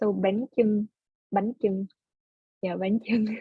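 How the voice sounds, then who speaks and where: A woman with a Vietnamese accent talks in a medium pitch, her voice somewhat breathy and her intonation fairly even. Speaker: computer science student. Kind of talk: oral history interview. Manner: halting.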